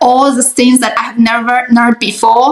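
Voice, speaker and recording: A woman talks with a Chinese accent. Her pitch is high and her pace fairly slow. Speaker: life coach and writer. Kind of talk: interview. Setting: video call. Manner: halting.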